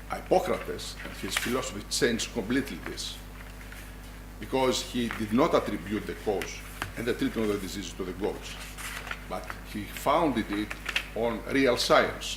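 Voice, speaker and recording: A man with long, frequent pauses, amid noticeable background noise and audible room echo. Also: moderate pace. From Greece, Larissa. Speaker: medical school dean, professor. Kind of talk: lecture. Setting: hall with audience. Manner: formal.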